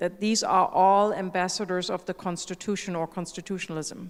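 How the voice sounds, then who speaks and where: Her voice sits at a medium pitch, with a German accent. The woman talks at a fairly quick pace with fairly even intonation. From Germany. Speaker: constitutional judge. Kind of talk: conference panel discussion.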